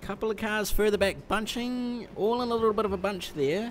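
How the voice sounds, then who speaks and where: A man speaks in a New Zealand accent at a high pitch. Noticeable background noise runs under his voice. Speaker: sim racing commentator. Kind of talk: live commentary. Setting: simulator store, live stream.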